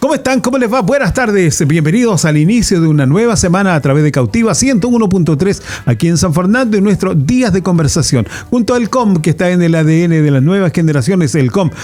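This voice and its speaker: Against noticeable background noise, a man speaks at a fairly quick pace in a high pitch, with very wide pitch swings and very even loudness. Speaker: radio host. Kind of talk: radio interview. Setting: radio studio. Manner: fast.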